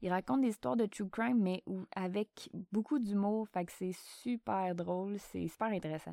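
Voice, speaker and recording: In a very clean recording with a silent background and a dry, close sound with no echo, a woman with a Quebec accent speaks at medium pitch and a moderate pace with ordinary pitch variation. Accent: Québécois French. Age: 30s. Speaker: podcast host, emergency dispatcher. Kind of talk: casual Q&A monologue.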